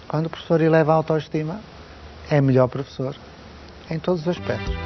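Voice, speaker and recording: A man speaks in a European Portuguese accent against noticeable background noise. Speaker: education expert. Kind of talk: interview. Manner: formal.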